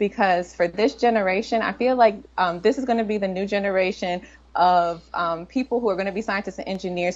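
Intonation stays fairly even at a fairly quick pace. The speaker is a woman with an American accent. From Washington, D.C. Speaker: computer science professor. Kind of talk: interview. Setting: remote call from a conference in New York. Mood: relaxed, smiling. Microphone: video call.

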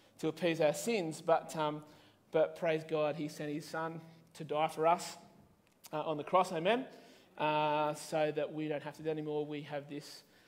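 Big swings in loudness mark this man's speech, which moves at a moderate pace with a fairly high pitch and monotone, flat intonation. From Australia. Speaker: pastor. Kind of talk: sermon. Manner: casual, with many fillers. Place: church.

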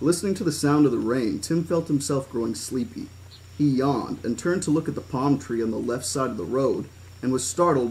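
The delivery is a natural reading voice. Nothing else is part of it.

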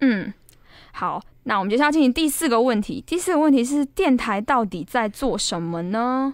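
A woman with a high pitch and very wide pitch swings talks at a moderate pace on a very clean recording with a silent background. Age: 20s. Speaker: podcast host, student radio DJ. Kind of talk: casual chat.

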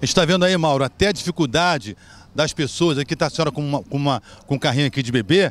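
Very fast speech from a man with a fairly high pitch and ordinary pitch variation. The sound is dry and close, with no echo. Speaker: street reporter. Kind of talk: field report. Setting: outdoors.

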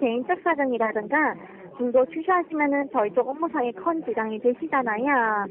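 Noticeable background noise runs through this clip. A woman speaks with a high pitch. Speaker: phone scammer posing as loan agent. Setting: phone line. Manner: scripted sales pitch, drawn-out endings.

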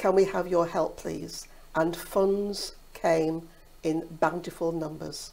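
Speaking very slowly, a woman uses a fairly low pitch and a dark, mellow tone. Her intonation is monotone and flat, with vocal fry. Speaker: hospice volunteer. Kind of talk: interview answer. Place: studio. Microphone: lapel.

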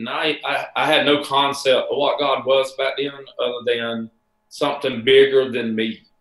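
Amid audible room echo, a man with an American accent talks at a fairly slow pace, his fairly high pitch showing ordinary variation. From US South (Bible Belt). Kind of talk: casual interview chat. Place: home room.

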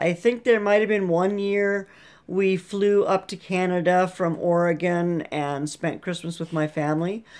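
Very slow speech from a woman, the background quiet. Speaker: vlogger. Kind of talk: casual vlog chat. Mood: cheerful, relaxed. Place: home room. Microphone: webcam.

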